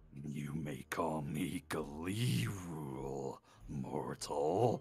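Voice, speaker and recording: Over clear background music, a man growls in a put-on character voice, very deep and low, at a very slow pace. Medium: actual play. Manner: smug, theatrical, condescending.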